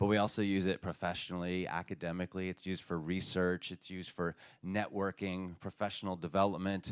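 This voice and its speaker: A man speaks at a very deep, low pitch in a monotone, flat intonation and a fairly quick pace. The recording is very clean, dry and close, with a silent background and no echo. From United States. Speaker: conference speaker. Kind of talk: conference talk.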